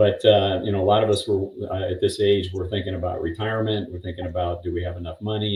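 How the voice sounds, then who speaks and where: The man's pitch is fairly low. His delivery is somewhat breathy, with monotone, flat intonation. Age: 60s. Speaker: retiree-age interview guest. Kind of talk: interview.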